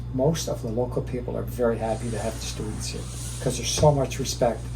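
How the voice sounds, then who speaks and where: A man speaks with a Cape Breton accent. Noticeable background noise and audible room echo surround his voice. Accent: Cape Breton Canadian English. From Canada, Cape Breton, Nova Scotia. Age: 60s. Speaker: real estate agent. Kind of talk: interview. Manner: relaxed, hesitant with fillers.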